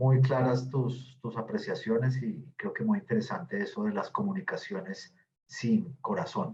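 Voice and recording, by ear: A man with a fairly low, slightly mellow voice and vocal fry talks at a fairly slow pace with big pitch swings.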